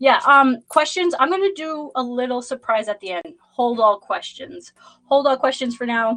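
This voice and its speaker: High-pitched and lively in her intonation, a woman speaks with a Boston accent. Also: moderate pace. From Boston, Massachusetts. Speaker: tarot reader. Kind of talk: live stream chat and tarot reading. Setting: livestream. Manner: casual, rambling with fillers.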